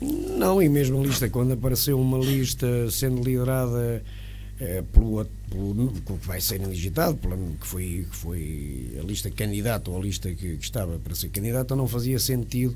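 The speech unfolds at a moderate pace. Behind it, music can be heard. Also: man. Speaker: interview guest. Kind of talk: interview answer. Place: studio. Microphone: studio mic.

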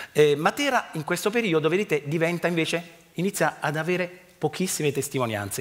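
In a normal speaking voice, a man talks at a fairly quick pace and a fairly high pitch, with ordinary pitch variation. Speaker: archaeology professor. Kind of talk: lecture. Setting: stage with audience. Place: stage. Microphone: headset.

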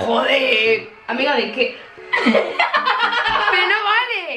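Loud background noise fills the recording. Over it, a woman speaks at a very slow pace. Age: young. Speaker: vlogger. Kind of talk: casual talk to camera. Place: home room. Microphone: camera far.

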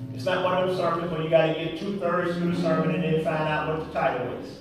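A man's voice in strong room echo, with clear music in the background. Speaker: pastor. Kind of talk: sermon. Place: church. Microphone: podium.

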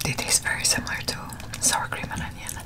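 A soft-spoken woman whispers at a very fast pace. Loud background noise fills the recording. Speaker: food video host. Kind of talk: casual eating vlog chat. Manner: soft ASMR whisper between bites. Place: home room.

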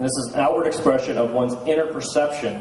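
A man at a fairly quick pace, with light background noise and audible room echo. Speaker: conference speaker. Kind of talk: lecture. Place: hall. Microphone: handheld.

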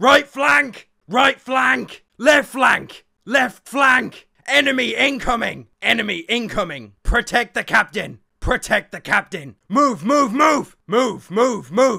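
This man talks at a fairly slow pace in a raised, projected voice. His pitch is extremely high. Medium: machinima. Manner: shouting, urgent, excited.

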